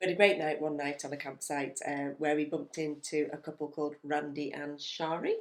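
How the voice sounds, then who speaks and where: Over noticeable background noise, a woman with an English accent speaks at a fairly quick pace with hardly any pauses, using a very deep, low pitch and monotone, flat intonation. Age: 50s. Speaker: retired teacher and travel vlogger. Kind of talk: casual travel chat.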